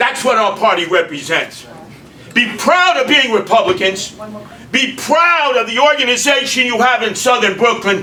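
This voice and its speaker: A man with an American accent and an extremely high pitch speaks in a raised, projected voice at a moderate pace, his tone animated and intonation lively, with audible room echo and noticeable background noise. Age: 70s. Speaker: mayoral candidate. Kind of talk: political speech.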